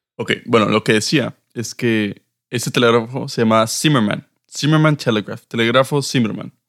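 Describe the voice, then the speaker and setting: This man has a plain, everyday voice at a medium pitch, speaking at a moderate pace with fairly even intonation. The recording is very clean with a silent background and a dry, close sound with no echo. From northern Mexico (Reynosa, Monterrey). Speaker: podcast co-host. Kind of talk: casual chat.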